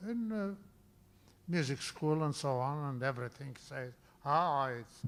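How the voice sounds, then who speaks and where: A man is speaking. He has a non-native accent. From Romania (Bessarabia). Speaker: composer. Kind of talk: interview. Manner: halting.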